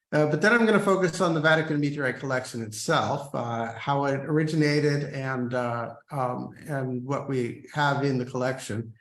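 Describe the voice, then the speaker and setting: A man with an American accent speaks at a moderate pace, with hardly any pauses and fairly high pitch. His pitch varies an ordinary amount, and there is noticeable background noise. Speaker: scientist and Jesuit brother. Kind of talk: lecture. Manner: halting, many fillers.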